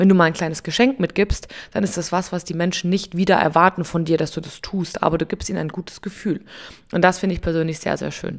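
A woman's fairly low voice at a very fast pace with fairly even intonation, in a very clean recording with a silent background. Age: 30s. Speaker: podcast host and coffee machine seller. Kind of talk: casual solo podcast monologue. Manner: informal, chatty with fillers.

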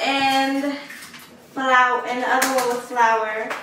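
At a fairly slow pace, a raised, projected voice carries through noticeable background noise and audible room echo. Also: woman. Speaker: home cook vlogger. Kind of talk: casual vlog chat. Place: kitchen. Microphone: camera far.

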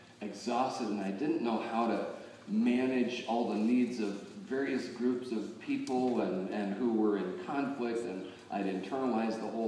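Audible room echo and light background noise around a man speaking at a moderate pace. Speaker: pastor. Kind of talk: sermon. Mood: warm, personal storytelling. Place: church.

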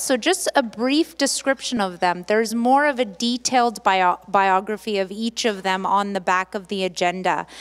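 Her pitch is medium, with ordinary variation. The woman keeps a moderate pace with few pauses.

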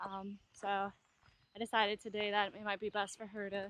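A woman's voice with a dry sound and no echo. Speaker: solo hiker vlogger. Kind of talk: casual vlog chat. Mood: relaxed, cheerful. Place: forest. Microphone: phone near.

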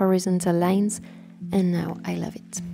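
A woman talks while music plays in the background. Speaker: bullet journal creator. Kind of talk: casual voiceover narration.

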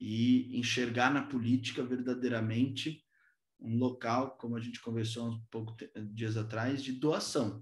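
The background is quiet. Speech moves at a fairly slow pace. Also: man. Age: 20s. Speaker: politician. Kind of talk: talk to a virtual business breakfast. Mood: earnest, reflective. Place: home room. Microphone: video call.

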